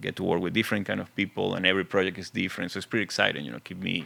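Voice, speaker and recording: A man speaks with a strong Venezuelan accent. His very deep, low voice has a bright, sharp tone. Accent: thick Venezuelan Spanish. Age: 40s. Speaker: film and TV composer. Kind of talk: casual interview. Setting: studio.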